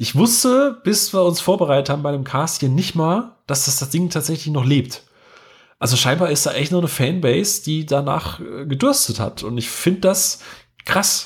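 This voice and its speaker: The recording is very clean and the background silent. An unremarkable speaking voice carries lively intonation at a moderate pace. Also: man, fairly high pitch for a man. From rural Germany. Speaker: podcast host. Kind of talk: casual chat.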